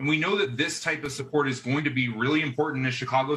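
Fairly even intonation and a very fast pace from a man. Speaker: corporate public affairs executive. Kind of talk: interview.

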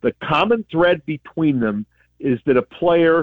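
Using a normal speaking voice, a man talks with ordinary pitch variation at a moderate pace. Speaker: sports broadcaster, team radio analyst. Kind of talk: radio interview, conversational. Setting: phone call from Colorado Springs.

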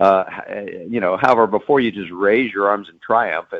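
Here is a man with an unremarkable speaking voice. He is fairly low in pitch and talks at a fairly quick pace. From Texas (Dallas). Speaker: author and sportswriter. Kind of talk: interview.

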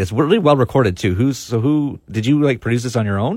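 A man with a Canadian accent has a plain, everyday voice and ordinary pitch variation. He speaks at a moderate pace on a very clean recording with a silent background. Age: 40s. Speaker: punk radio podcast host. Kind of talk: casual interview. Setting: studio.

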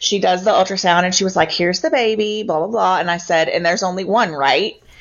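A woman talks very fast at medium pitch. Her pitch varies in an ordinary way. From Louisville, Kentucky. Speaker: nonprofit communications director. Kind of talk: casual interview.

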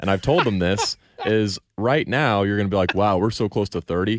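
Here is a man with a normal speaking voice and a fairly low pitch. He talks at a fairly quick pace in a dry, close recording with no echo. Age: 20s. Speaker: sports radio update anchor. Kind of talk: casual chat. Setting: radio studio.

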